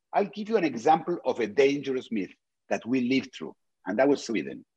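A fairly high-pitched man with vocal fry, very wide pitch swings and a fairly quick pace. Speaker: video series presenter. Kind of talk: explanatory talk on video. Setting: video call. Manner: halting, hesitant.

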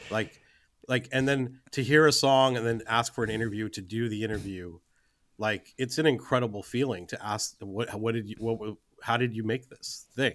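An American accent with fairly even intonation on a very clean recording against a silent background. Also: man, medium pitch for a man, moderate pace. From California suburbs, US. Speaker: film producer. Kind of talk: interview.

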